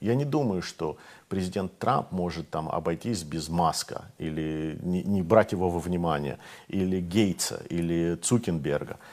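The man's voice sits very deep and low. His pitch varies in an ordinary way. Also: fairly slow pace. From Moscow, Russia; Russia. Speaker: retired US Navy captain, commentator; commentator. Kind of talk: TV interview about politics. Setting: TV studio in Kyiv. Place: studio. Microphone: lapel.

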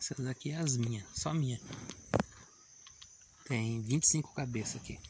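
Amid noticeable background noise, a man speaks at a very slow pace in a dry sound with no echo. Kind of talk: casual vlog chat. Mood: warm, affectionate. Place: farm. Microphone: phone near.

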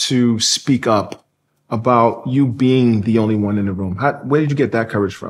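With an American accent, this man talks at a moderate pace and a medium pitch. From United States. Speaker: interviewer. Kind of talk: interview. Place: studio.

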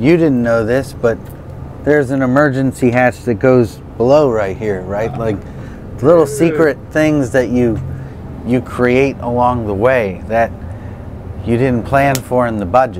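Over noticeable background noise, a man talks at a fairly slow pace with long, frequent pauses, ordinary pitch variation and a dry sound with no echo. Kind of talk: interview answer. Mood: enthusiastic, relaxed. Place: bus. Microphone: lapel.

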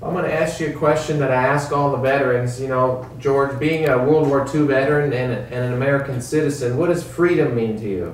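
There is noticeable background noise as a man talks at a fairly quick pace with hardly any pauses. His pitch is fairly high and his intonation fairly even. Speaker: oral history interviewer. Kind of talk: interview. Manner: earnest.

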